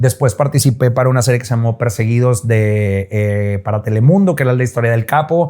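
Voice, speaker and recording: A man talks at a fairly quick pace with hardly any pauses. His medium-pitched voice has a dark, mellow tone and ordinary pitch variation. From northern Mexico, Monterrey. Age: 30s. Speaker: TV host and actor. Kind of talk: interview conversation.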